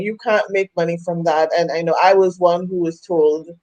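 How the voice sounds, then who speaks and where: With a Trinidadian accent, a woman of medium pitch speaks at a fairly slow pace in a dark, mellow tone. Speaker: women's coach. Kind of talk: interview.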